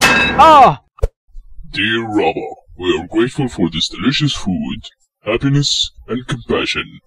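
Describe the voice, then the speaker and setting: Using a cartoonish character voice, a man speaks at a fairly high pitch and a fairly slow pace, with long, frequent pauses. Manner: gruff, exasperated.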